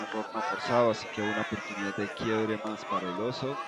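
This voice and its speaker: Crowd noise can be heard in the background. The sound is dry, with no echo. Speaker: sports commentator. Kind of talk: play-by-play commentary.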